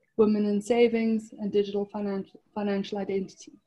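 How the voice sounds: A woman speaks at a medium pitch and a moderate pace. Her tone is dark and mellow, with a slightly husky edge.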